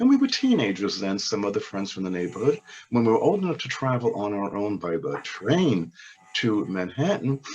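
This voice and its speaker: Noticeable background noise surrounds a man who talks at a fairly quick pace, his intonation lively. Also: medium pitch for a man. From New York, Brooklyn (Crown Heights). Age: 70s. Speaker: oral history interviewee. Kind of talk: interview. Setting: webinar.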